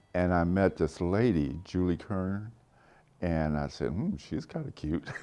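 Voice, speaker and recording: Someone with an American accent speaks fairly slowly with ordinary pitch variation while music plays in the background. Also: man. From Texas. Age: 80s+. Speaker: painter and retired art professor. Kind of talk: interview testimony.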